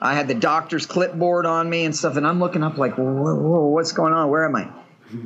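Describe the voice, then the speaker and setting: With a Texan accent, a man speaks at a fairly quick pace in a high pitch. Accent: Texan American English. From Texas. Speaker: patient living with a serious illness. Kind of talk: casual chat.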